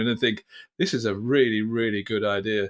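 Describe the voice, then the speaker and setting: Talking at a fairly quick pace, a man speaks in a British accent. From United Kingdom. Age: 60s. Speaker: business founder and chairman. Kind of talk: podcast interview.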